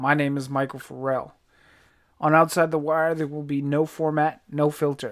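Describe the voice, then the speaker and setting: A man with an American accent and a plain, everyday voice speaks at a moderate pace and fairly high pitch, on a very clean recording with a silent background. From Virginia, US. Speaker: podcast host and army veteran. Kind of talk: podcast intro monologue.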